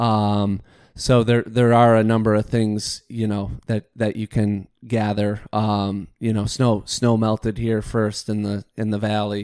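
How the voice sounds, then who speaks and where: A man's fairly low, monotone, flat voice with an Upper Midwest accent at a fairly slow pace with hardly any pauses, in a very clean recording with a silent background. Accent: Upper Midwest American. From Michigan. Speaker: golf course superintendent. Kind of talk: casual interview. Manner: halting, frequent fillers and repeats.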